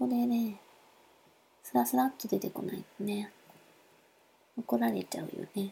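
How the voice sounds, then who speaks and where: With a Nagasaki accent, a woman speaks at a moderate pace in a dark, mellow, somewhat breathy voice of medium pitch, her pitch swinging very widely and her speech broken by long, frequent pauses. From Nagasaki, Japan. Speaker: podcaster. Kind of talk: solo podcast monologue. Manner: halting, many fillers.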